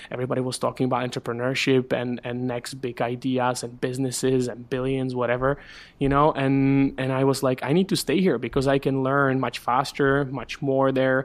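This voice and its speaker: A man with a Czech accent speaks at a fairly quick pace with hardly any pauses. His medium-pitched voice keeps a monotone, flat intonation. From Czech Republic. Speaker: startup community director. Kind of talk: interview.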